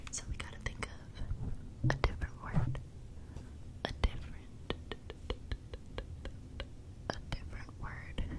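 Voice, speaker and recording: A soft-spoken woman whispering, with long, frequent pauses. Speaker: ASMR creator. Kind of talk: soft whispered ASMR chat. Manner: soft close-mic ASMR whisper. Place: home room. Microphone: studio mic.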